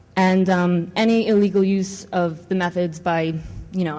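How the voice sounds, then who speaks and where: There is audible room echo around this woman with a New York accent. Her voice is fairly low in pitch, with fairly even intonation. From New York City. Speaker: conference speaker, network administrator and adjunct professor. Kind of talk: conference talk. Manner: casual, filler-heavy.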